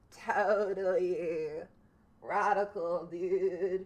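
At a middle pitch, the speaker uses a put-on character voice. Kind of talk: slangy, casual. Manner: laid-back, playful.

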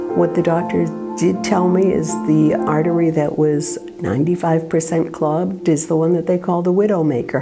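A woman at a fairly low pitch and moderate pace, ordinary pitch variation, with clear music in the background. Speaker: patient's wife. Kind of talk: interview answer. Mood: recounting a shocking event. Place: home room.

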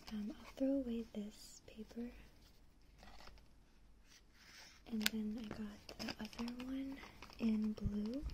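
Whispering and soft-spoken, the voice moves at a very slow pace with long, frequent pauses over noticeable background noise. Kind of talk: casual haul vlog chat. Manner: soft close ASMR whisper. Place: home room. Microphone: phone near.

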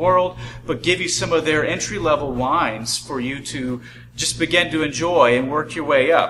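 Light background noise accompanies a man speaking with ordinary pitch variation. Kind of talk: product presentation. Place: shop.

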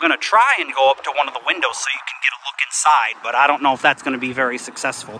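A man talks at a fast pace with a medium pitch. His tone is bright and sharp, and his pitch varies in an ordinary way.

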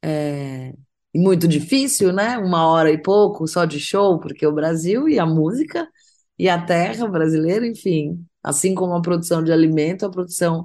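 A woman's fairly low voice at a moderate pace, with ordinary pitch variation, against a quiet background. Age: 40s. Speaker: singer-songwriter. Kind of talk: interview. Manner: hesitant, filler-heavy.

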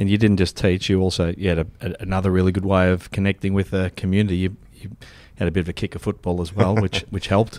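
Monotone, flat intonation at a very fast pace in an Australian accent, over a very clean recording with a silent background. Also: man, very deep, low pitch for a man. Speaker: podcast host, managing director. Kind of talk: podcast host interviewing.

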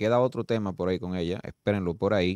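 A man's voice with ordinary pitch variation, dry with no echo, against a quiet background. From Dominican Republic. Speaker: TV talk show host. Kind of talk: talk show discussion. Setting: studio. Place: studio. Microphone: studio mic.

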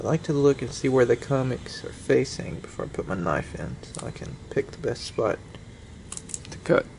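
A man talks at a moderate pace, his loudness swinging widely. Light background noise can be heard. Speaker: comic collector vlogger. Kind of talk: casual unboxing vlog. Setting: at home. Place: home room. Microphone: phone near.

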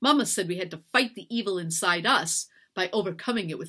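A plain read-aloud passage, background quiet

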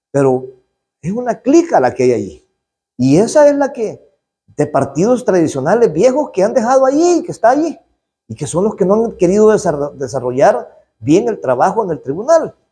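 This man's voice is dark and mellow, sitting high in pitch and moving through very wide pitch swings. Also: moderate pace. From El Salvador, rural area. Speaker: politician, legislator. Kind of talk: interview statement to press. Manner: outspoken, forceful; halting, with repetitions. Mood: critical, indignant. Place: hall. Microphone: handheld.

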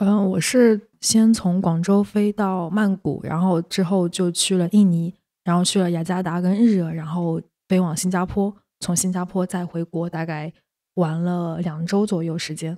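Against a quiet background, a woman speaks fairly slowly in a fairly low, dark and mellow voice with fairly even intonation. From Shaoxing, Zhejiang, China; Zhejiang, China. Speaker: community worker and podcast editor; podcast host or guest. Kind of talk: casual chat. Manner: halting.

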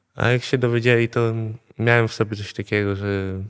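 A man speaks at a moderate pace and a medium pitch. He has an unremarkable speaking voice with fairly even intonation. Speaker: addiction therapy patient. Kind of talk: testimony. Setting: rehab centre.

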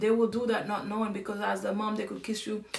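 Over light background noise and audible room echo, a woman talks at a fairly quick pace. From Haiti. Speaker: livestream host and realtor; livestream host. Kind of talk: casual livestream talk. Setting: live stream on social media. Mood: serious, earnest. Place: home room. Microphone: phone near.

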